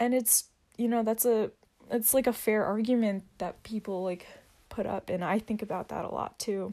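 The tone is dark and mellow. The pace is moderate. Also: woman, fairly high pitch for a woman. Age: 20s. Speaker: solo podcaster. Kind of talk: casual monologue. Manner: hesitant with many fillers.

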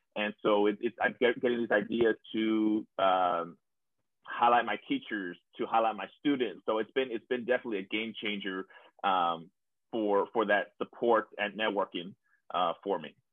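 A man with an American accent has an unremarkable speaking voice, fairly low in pitch, with fairly even intonation and a moderate pace. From South Texas (San Benito). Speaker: school principal. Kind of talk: casual interview.

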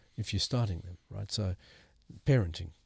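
A man speaks in a fairly low, somewhat breathy voice with fairly even intonation. The recording is very clean, with a silent background and a dry, close sound without echo. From South Africa. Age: 60s. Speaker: missional movement strategist and author. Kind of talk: interview.

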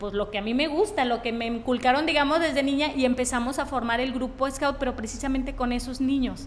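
Over noticeable background noise, a woman with a high pitch talks with hardly any pauses and ordinary pitch variation. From Mexico, Tepic, Nayarit. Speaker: medical doctor. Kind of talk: interview.

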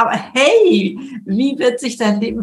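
Vocal fry in a woman's speech, its pitch varying in an ordinary way. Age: 70s. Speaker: speaker and author. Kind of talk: interview. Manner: energetic.

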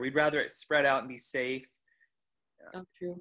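A man's medium-pitched voice with an American accent, bright, sharp tone and fairly even intonation, in a quiet background. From US Northwest, northern Idaho. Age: 30s. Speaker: triathlete and coach. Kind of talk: casual interview.

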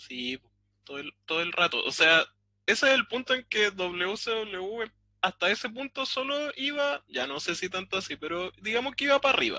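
Moderate pacing in a Chilean accent. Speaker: podcast co-host. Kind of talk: casual chat.

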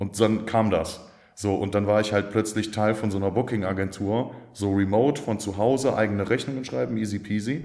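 The voice has a dark, mellow tone and moves at a fairly quick pace with fairly even intonation. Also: man, fairly low pitch for a man. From Aachen area, western Germany. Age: 30s. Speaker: PR agency founder. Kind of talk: casual interview.

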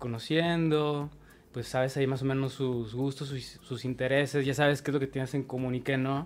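Fairly high in pitch, a man with an ordinary speaking voice speaks at a moderate pace. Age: 30s. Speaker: photographer and DJ. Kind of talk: casual chat.

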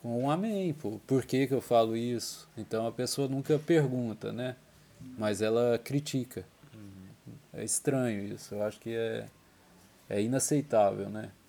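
The tone is dark and mellow, with ordinary pitch variation. Delivery is fairly slow, broken by long, frequent pauses. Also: man, medium pitch for a man. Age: 30s. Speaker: church member giving testimony. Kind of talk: personal reflection monologue. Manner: halting.

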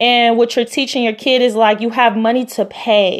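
A woman speaks with an American accent in a fairly high voice. Her intonation stays fairly even. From US, Los Angeles area (Compton). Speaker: podcast host. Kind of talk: solo motivational podcast talk.

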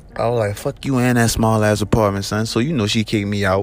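Against noticeable background noise, a fairly low-pitched man talks at a fairly quick pace. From Georgia, US South. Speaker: podcast host telling life story. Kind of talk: personal storytelling monologue. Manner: casual, full of fillers.

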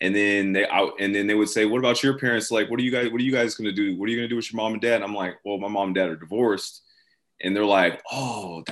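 Speaking very fast in an American accent, a man with a fairly low pitch keeps his intonation fairly even. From US Pacific Northwest. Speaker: clothing brand founder. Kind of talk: casual interview.

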